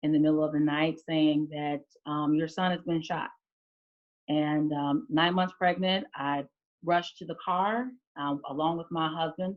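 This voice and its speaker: A woman with an American accent speaks at a very deep, low pitch with fairly even intonation. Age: 30s. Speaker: state legislator. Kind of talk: testimony. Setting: video call. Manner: halting.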